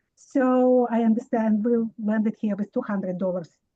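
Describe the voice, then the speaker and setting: Her voice fairly high and somewhat breathy, a woman speaks at a moderate pace in a dark, mellow tone with ordinary pitch variation and a dry, close sound with no echo. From immigrant to the US. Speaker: resident asking a question. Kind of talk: public Q&A question. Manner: halting.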